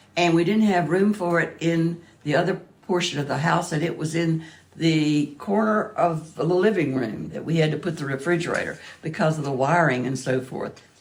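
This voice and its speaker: With audible room echo, a woman speaks in an American accent at a fairly low pitch. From US South, southwest Virginia. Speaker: museum donor. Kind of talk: interview. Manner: halting.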